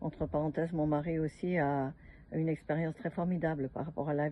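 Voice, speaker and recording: Very deep, low female voice at a moderate pace, with fairly even intonation. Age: 70s. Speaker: customer giving a product testimonial. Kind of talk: testimony. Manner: halting, many hesitations.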